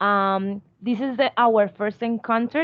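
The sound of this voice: Her pitch fairly high, a woman speaks at a fairly slow pace with ordinary pitch variation.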